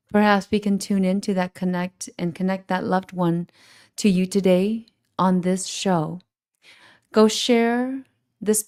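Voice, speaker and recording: The voice has a dark, mellow tone and fairly even intonation. Its pace is fairly slow. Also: woman. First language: Hmong. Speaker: shaman, spiritual advisor. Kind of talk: live call-in show introduction. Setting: live stream. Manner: halting, self-correcting.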